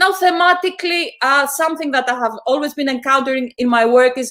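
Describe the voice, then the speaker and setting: A woman with a Greek accent speaks at high pitch and a moderate pace. Her intonation is lively. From Greece. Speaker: visual artist and filmmaker. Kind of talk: academic talk. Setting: online panel stream. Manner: hesitant, with fillers and repetitions.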